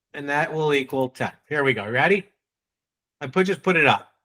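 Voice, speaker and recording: With a New England accent, a man talks in a bright, sharp tone and lively intonation. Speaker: sales trainer. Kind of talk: training workshop.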